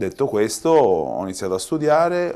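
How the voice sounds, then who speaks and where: In a strong Tuscan accent, the speaker talks at a fairly slow pace with lively intonation while music plays in the background. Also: man. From Tuscany, after early childhood in Palermo. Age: 40s. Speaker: pizza chef. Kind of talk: interview.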